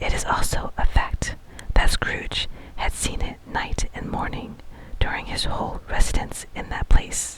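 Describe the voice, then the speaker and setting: Noticeable background noise surrounds a voice whispering at a fairly slow pace. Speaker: ASMR narrator reading a classic novel. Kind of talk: whispered ASMR bedtime book reading. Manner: whispered, soft, slow.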